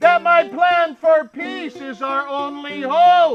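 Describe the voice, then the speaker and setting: At a very slow pace, a man performs in a put-on character voice. Faint music plays in the background. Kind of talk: oratorical speech. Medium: audio drama.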